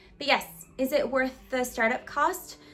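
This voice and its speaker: A woman talks with a high pitch. There is noticeable background noise. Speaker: lifestyle vlogger. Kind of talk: casual vlog talk to camera. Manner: fast.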